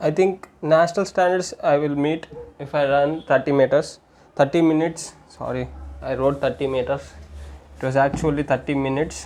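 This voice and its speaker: With a fairly high pitch for a man, this male speaker keeps a fairly even intonation at a moderate pace, broken by long, frequent pauses. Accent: Indian. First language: Telugu. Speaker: amateur runner and fitness vlogger. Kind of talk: solo tutorial vlog. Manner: halting, with repetitions and self-corrections.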